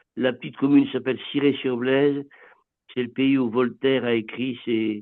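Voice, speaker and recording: A man at a medium pitch and moderate pace, his intonation monotone and flat. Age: 80s+. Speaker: blind mayor. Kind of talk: webinar testimony. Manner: halting.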